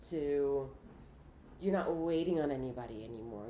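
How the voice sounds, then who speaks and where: A woman with a very deep, low pitch and a dark, mellow tone speaks with ordinary pitch variation, with audible room echo. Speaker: tarot reader and remote healer. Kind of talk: tarot reading monologue. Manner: halting, with frequent restarts.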